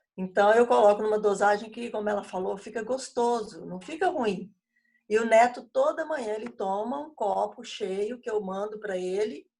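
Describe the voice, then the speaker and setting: A woman's fairly high voice, with ordinary pitch variation and big swings in loudness. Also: moderate pace. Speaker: bible study leader, former teacher. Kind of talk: casual chat.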